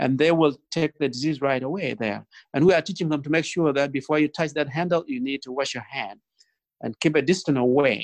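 A man with a South Sudanese accent talks at a fairly quick pace and a fairly high pitch, with ordinary pitch variation against a quiet background. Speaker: guest, nonprofit founder. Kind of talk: interview answers, storytelling. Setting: video call. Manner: gentle.

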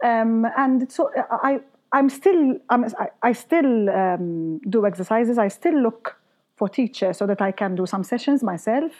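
A woman speaks with a plain, everyday voice. Her pitch is fairly high and her pace fairly slow. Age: 30s. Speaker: singer and voice teacher. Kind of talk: casual interview.

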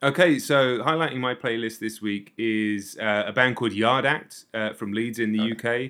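Hardly pausing, a man with a southern English accent talks at a moderate pace and medium pitch with ordinary pitch variation. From south coast of England. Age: 40s. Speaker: music YouTuber and reviewer. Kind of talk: casual interview chat.

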